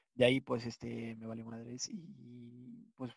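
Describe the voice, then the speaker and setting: A man with a Mexican accent. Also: dry, close sound with no echo. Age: 20s. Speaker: podcast host. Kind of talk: casual chat. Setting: video call.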